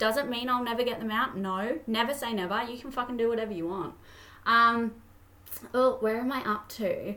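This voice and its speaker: An animated tone at a moderate pace. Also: woman, fairly high pitch for a woman. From Australia, Toowoomba, Queensland. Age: 20s. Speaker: podcast host. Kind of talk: casual monologue.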